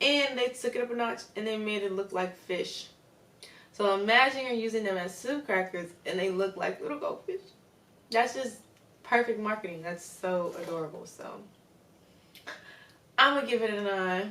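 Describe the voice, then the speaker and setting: Against noticeable background noise, a woman speaks at a moderate pace with long, frequent pauses. Her fairly high pitch varies in an ordinary way. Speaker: YouTuber. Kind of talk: casual vlog, food review. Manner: animated.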